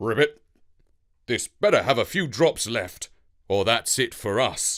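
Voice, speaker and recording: A man uses a put-on character voice that is raspy and croaky at a medium pitch. He speaks at a fairly slow pace in a very clean recording with a silent background. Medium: read story. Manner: croaks "ribbit" before speaking, measured.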